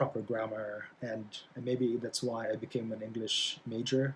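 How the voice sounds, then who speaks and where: With a Philippine accent, a man speaks at a medium pitch and moderate pace, somewhat breathy and in a monotone, flat intonation. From Philippines. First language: Bisaya. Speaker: college English instructor. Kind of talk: lecture. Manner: halting, many fillers.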